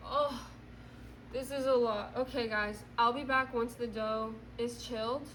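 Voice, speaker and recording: Amid noticeable background noise and audible room echo, a woman with a high pitch speaks at a fairly slow pace with fairly even intonation. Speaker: vlogger. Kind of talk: casual vlog narration while baking. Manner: loud, yelling.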